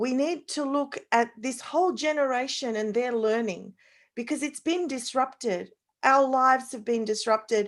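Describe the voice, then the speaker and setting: Speaking at a moderate pace with lively intonation, a woman uses a high-pitched voice with an Australian accent. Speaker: parenting expert, panelist. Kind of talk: online panel discussion.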